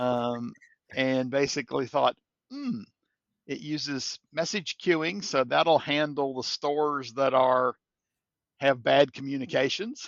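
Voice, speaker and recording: Speaking very slowly with long, frequent pauses, a man with a slight Kentucky accent has a fairly high pitch and ordinary pitch variation. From Kentucky, US. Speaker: software integration expert. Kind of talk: podcast interview.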